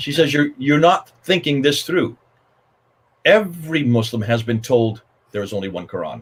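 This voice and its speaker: A somewhat breathy man at a fairly high pitch, moderate pace, lively intonation and long, frequent pauses. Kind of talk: panel discussion. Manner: animated.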